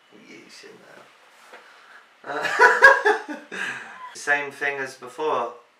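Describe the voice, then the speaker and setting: A man with a British accent speaks at a very slow pace amid noticeable background noise and audible room echo. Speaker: boyfriend doing partner's makeup. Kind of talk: casual chat. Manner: loud.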